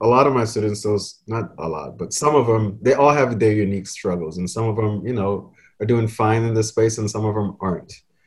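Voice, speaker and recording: A man speaks in a somewhat breathy voice. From Trinidad and Tobago. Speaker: middle school science teacher. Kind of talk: casual panel conversation.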